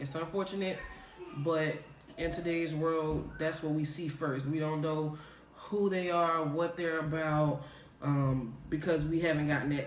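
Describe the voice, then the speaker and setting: With a slight Southern US accent, a man with a fairly high pitch talks in a relaxed tone at a fairly slow pace, his intonation monotone and flat, amid noticeable background noise and audible room echo. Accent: slight Southern drawl. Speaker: video podcast co-host. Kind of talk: casual chat. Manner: relaxed, casual, slang-heavy.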